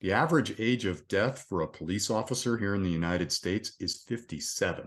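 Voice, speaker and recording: A plain, everyday voice from a man, fairly low in pitch, with lively intonation, a fairly quick pace and a quiet background. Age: 60s. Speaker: resilience coach, retired police officer. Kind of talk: casual interview chat.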